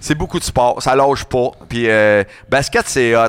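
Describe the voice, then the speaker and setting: A man's medium-pitched voice, very slow, with ordinary pitch variation. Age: 40s. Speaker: radio host and event organizer. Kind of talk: casual chat.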